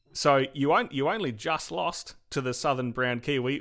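In a very clean recording with a silent background, a man speaks at a medium pitch with an Australian accent. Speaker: podcast host. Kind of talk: casual interview.

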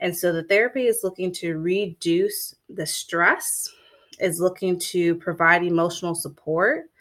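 Speaking with an American accent, a woman with a plain, everyday voice at a fairly low pitch talks at a fairly slow pace with ordinary pitch variation. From Florida. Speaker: mental health counselor and podcast host. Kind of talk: solo podcast monologue, educational. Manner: conversational, with fillers.

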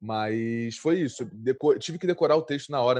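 Speaking at a fairly quick pace, a man uses a medium-pitched voice. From Brazil, Rio de Janeiro (Santa Marta favela). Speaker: actor. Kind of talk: interview. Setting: at home during quarantine.

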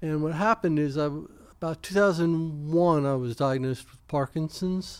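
Loudness swings widely as a man with a fairly high pitch and ordinary pitch variation speaks at a moderate pace. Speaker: podcast host. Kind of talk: casual interview chat. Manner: hesitant, repeats words.

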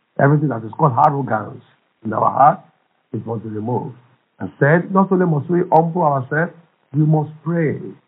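A man with a Nigerian accent speaks at a fairly high pitch. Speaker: pastor. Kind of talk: fervent prayer, charged preaching-style exhortation. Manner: impassioned, urgent, emphatic; repetitive, rhythmic, declaratory.

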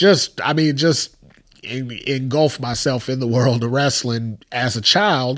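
With an American accent, a man speaks fairly slowly in an ordinary speaking voice, his medium pitch showing ordinary variation. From US Midwest, Chicago area. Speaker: podcast co-host. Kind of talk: casual chat.

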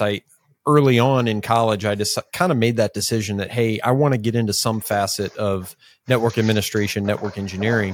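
On a very clean recording with a silent background, a man with an ordinary speaking voice talks at a fairly quick pace and a medium pitch. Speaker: podcast co-host. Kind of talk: casual chat, interview.

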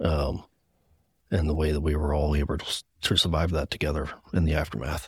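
A man with an American accent has a very deep, low pitch and a somewhat breathy voice at a moderate pace. The recording is very clean with a silent background and a dry, close sound with no echo. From Gettysburg, Pennsylvania. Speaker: firefighter. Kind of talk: testimony.

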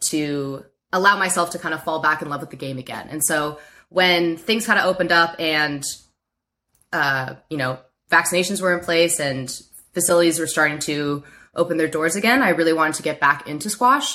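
On a very clean recording with a silent background, a woman speaks in a bright, sharp tone at a fairly quick pace. Her pitch is fairly low, with ordinary variation. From Baltimore, Maryland. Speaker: squash player and coach. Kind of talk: interview.

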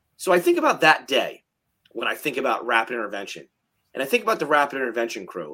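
A man's very fast, bright, sharp voice with a fairly high pitch, vocal fry, very wide pitch swings and an American accent. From South Jersey, US. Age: 30s. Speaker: fire captain and instructor. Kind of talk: casual chat.

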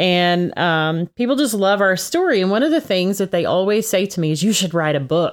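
Speaking at a moderate pace with hardly any pauses, a woman with a Texan accent has a medium pitch and lively intonation. Her loudness stays very even on a very clean recording with a silent background. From Texas. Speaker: podcast co-host. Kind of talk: casual chat.

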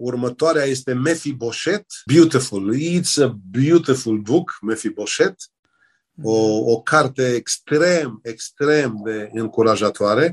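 Dry and close with no echo, the recording has a man speaking at a very slow pace. His pitch is medium, with ordinary variation. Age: 60s. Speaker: pastor and author. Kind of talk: religious interview.

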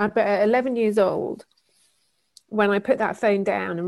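In a very clean recording with a silent background, a woman speaks in an English accent with fairly even intonation. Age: 40s. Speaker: author and keynote speaker. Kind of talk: interview.

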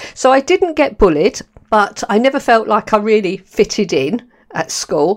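Her voice is fairly high-pitched, and this woman speaks at a moderate pace in an animated, warm tone with very wide pitch swings. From London, England. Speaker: podcast host. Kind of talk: solo monologue podcast, personal talk. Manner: animated, warm, chatty.

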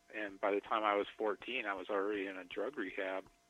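The speaker has an American accent and a normal speaking voice. The pace is moderate. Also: man. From South Dakota, US. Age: 40s. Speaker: tattoo shop owner. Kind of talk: interview about recovery.

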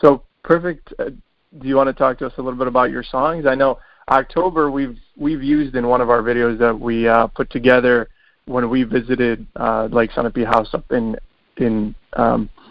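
Medium pitch from a man, his intonation fairly even. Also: moderate pace. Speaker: podcast host. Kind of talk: interview.

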